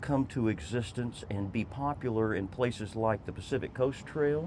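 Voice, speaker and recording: With an American accent, a man talks in a normal speaking voice at a medium pitch and fairly slow pace, his intonation lively. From Texas. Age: 60s. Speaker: former state legislator and trail advocate. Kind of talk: interview.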